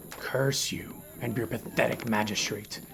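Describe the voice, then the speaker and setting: A man growls and hisses in a put-on character voice at medium pitch. He goes at a fairly slow pace over clear background noise. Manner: hissing, venomous.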